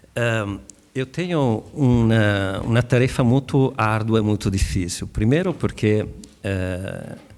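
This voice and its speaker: Talking at a very slow pace with an Italian accent, a man uses a medium pitch and ordinary pitch variation. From Italy. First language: Italian (speaking Portuguese). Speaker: legal expert panelist. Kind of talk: conference panel presentation. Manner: hesitant, many filler sounds.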